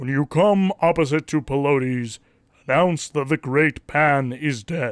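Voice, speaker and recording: A man's put-on character voice, fairly high in pitch, at a fairly slow pace. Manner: commanding, solemn.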